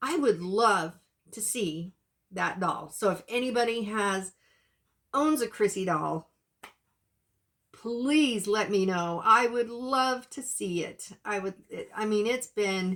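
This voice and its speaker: Very slow and broken by long, frequent pauses, a woman's fairly high voice moves with ordinary pitch variation. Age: 60s. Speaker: YouTuber, reborn doll collector. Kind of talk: casual vlog chat. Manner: halting, many fillers and restarts.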